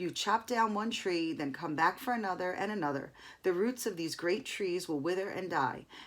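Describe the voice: Someone does plain reading aloud, the pitch varying in an ordinary way.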